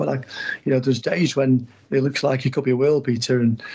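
The man's intonation stays fairly level. Background noise can be clearly heard. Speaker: football agent. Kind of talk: interview.

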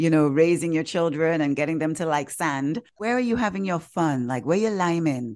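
This woman talks at a moderate pace in an animated tone, with very wide pitch swings. Her pitch sits fairly low, and the background is quiet. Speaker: podcast host. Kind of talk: casual chat.

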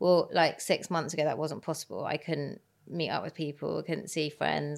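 A woman speaks at a very deep, low pitch with vocal fry and fairly even intonation. The recording is very clean, with a silent background. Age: 40s. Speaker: entrepreneur and angel investor. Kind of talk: interview. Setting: studio.

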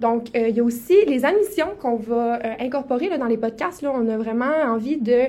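A woman with a Saguenay accent, high-pitched, lively intonation, fairly quick pace. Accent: Québécois French (Saguenay). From Quebec, Saguenay-Lac-Saint-Jean. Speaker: podcast co-host, medical student. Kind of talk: casual podcast introduction.

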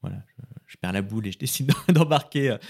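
The speaker has a plain, everyday voice and talks at a fairly quick pace with ordinary pitch variation. The recording is very clean, with a silent background. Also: man. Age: 40s. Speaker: father sharing family story. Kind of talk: personal testimony.

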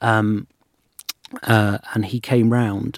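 A man's fairly low voice with an English accent, dry and close with no echo. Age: 20s. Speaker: radio producer and podcaster. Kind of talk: casual chat. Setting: studio.

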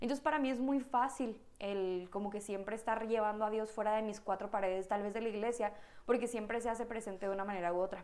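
A woman talks at a very fast pace. Her voice is fairly high in pitch, with fairly even intonation. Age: 20s. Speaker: physiotherapist and church volunteer. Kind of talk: casual chat.

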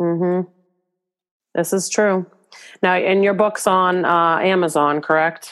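Over music in the background, a woman speaks at a medium pitch and very slow pace in a monotone, flat delivery with very even loudness and long, frequent pauses. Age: 30s. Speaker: podcast host and parenting coach. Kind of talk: scripted outro; casual interview. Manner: halting, repeats words.

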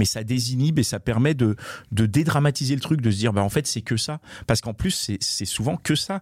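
Somewhat breathy and at medium pitch, a man speaks fairly quickly with lively intonation in a very clean recording with a silent background. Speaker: podcast co-host. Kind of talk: casual chat.

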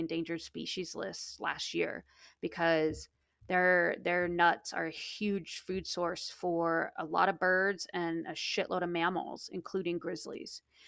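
A woman with an American accent speaks at a fairly slow pace in a fairly low pitch, her intonation flat and monotone, on a very clean recording with a silent background. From Alaska interior. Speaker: podcast host, wildlife expert. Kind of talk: casual chat.

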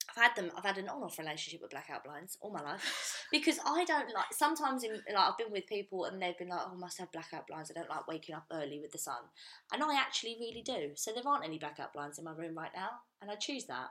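A woman's bright, sharp voice at medium pitch, very fast, with very wide pitch swings and big swings in loudness. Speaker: podcast co-host. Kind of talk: casual chat. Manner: fast talker.

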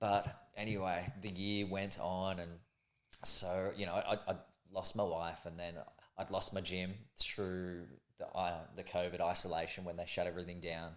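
In an Australian accent, a man speaks at a moderate pace with a very deep, low pitch and monotone, flat intonation. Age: 40s. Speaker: calisthenics athlete and motivational speaker. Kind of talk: casual chat interview.

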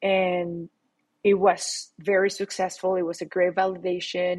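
A woman speaks at a very slow pace with a fairly low pitch and a Latin American accent. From Mexico City. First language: Spanish. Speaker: startup founder. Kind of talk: interview.

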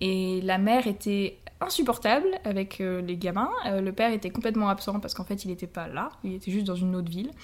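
A woman talks fairly quickly with ordinary pitch variation, noticeable background noise behind her. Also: medium pitch for a woman. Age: 20s. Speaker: language teacher. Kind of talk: casual chat.

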